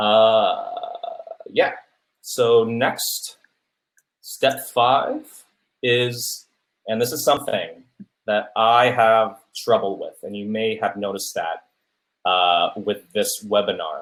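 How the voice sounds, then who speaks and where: Long, frequent pauses break up a man's speech. His pace is very slow. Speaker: academic public speaking coach. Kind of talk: webinar lecture. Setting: webinar. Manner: filler-heavy.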